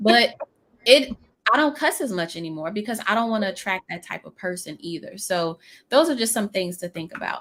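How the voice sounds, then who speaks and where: The speaker talks at a fairly quick pace with an American accent. Pitch swings are very wide, and loudness rises and falls sharply. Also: woman, medium pitch for a woman. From New Orleans. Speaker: business coach. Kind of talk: live stream interview.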